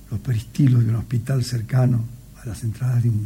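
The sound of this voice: Fairly even intonation marks this unforced reading voice.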